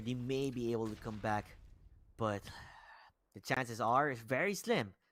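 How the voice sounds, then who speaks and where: In a very clean recording with a silent background, a man speaks at a medium pitch and moderate pace with ordinary pitch variation and long, frequent pauses. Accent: Filipino. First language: Tagalog. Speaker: esports caster. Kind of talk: live commentary.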